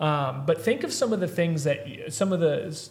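Somewhat breathy, a man with an American accent talks at a moderate pace with ordinary pitch variation. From Missouri, rural US Midwest. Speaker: health practitioner podcast host. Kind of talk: casual chat. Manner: energetic, motivational.

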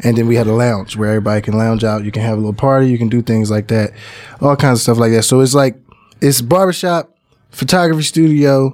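This man has a normal speaking voice at a medium pitch, with an American accent. He talks at a fairly quick pace with ordinary pitch variation. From Philadelphia, North Philly. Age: 30s. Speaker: music producer and studio owner. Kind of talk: casual interview chat.

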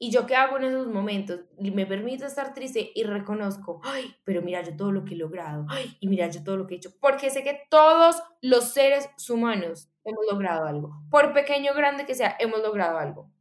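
A woman with a fairly high pitch talks with hardly any pauses, her pitch swinging very widely and her loudness shifting in big swings. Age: 20s. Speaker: coma survivor sharing personal story. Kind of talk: interview testimony.

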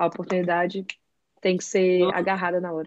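The sound is dry and close with no echo. A woman speaks at a medium pitch with monotone, flat intonation. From Brazil, Brasília. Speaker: architect and graphic designer. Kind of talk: casual chat.

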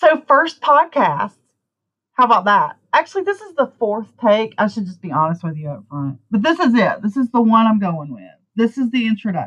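A woman with a Southern US accent speaks at a moderate pace in a fairly high pitch, her voice making very wide pitch swings and big swings in loudness. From US South. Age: 40s. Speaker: blogger and new podcaster. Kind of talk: casual chat, podcast intro. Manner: casual, filler-heavy.

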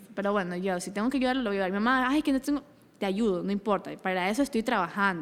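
A woman talks very fast in an animated tone with ordinary pitch variation. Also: medium pitch for a woman. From Ecuador, Daule (rural Guayas coast). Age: 20s. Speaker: entrepreneur. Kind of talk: interview.

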